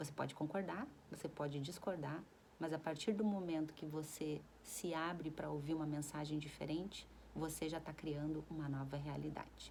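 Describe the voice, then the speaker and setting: With audible room echo, a woman speaks at a moderate pace in a calm tone, her very deep, low voice dark and mellow, with vocal fry and fairly even intonation. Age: 40s. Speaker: self-help vlogger. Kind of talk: casual reflective monologue. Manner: calm, conversational.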